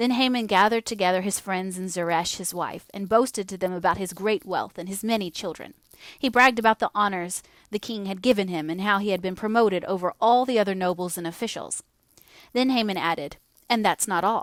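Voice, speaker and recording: A normal speaking voice from a woman with an American accent, medium in pitch, with ordinary pitch variation and a fairly quick pace. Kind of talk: audio bible reading.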